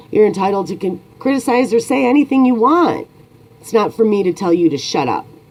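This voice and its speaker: Noticeable background noise sits behind a woman with an American accent. She speaks at a fairly quick pace with lively intonation. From United States. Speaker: YouTuber. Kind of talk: opinion monologue.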